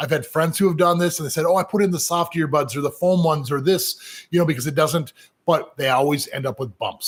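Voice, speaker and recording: This man talks at a fairly quick pace, his pitch fairly high with ordinary variation. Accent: American. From US Midwest, Minnesota. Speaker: professional piercer. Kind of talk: live Q&A. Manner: casual, halting with fillers.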